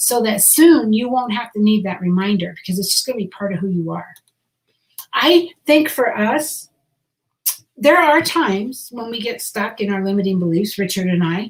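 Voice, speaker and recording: A woman's fairly high, somewhat breathy voice with lively intonation at a moderate pace. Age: 60s. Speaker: direct sales business trainer. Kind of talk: live stream training talk. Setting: social media live video. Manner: casual, conversational with fillers.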